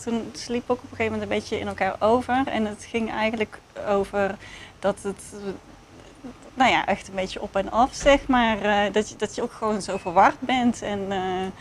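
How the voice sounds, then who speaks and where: Her pitch is fairly high, with ordinary variation. The woman speaks at a moderate pace. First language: Dutch. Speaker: research participant. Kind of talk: casual chat. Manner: halting.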